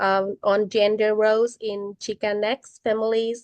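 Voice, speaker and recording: Here a woman speaks with a non-native accent. The sound is dry and close, with no echo. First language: not English. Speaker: college student. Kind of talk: student podcast discussion. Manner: hesitant, many fillers.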